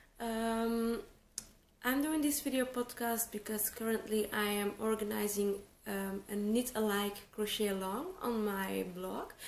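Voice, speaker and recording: In a room with audible echo and light background noise, a woman speaks at a fairly slow pace, her fairly high voice keeping a fairly even intonation. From Flanders, Belgium. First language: Dutch. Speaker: crochet teacher. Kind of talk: tutorial. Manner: hesitant, many fillers. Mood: calm, relaxed. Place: home room.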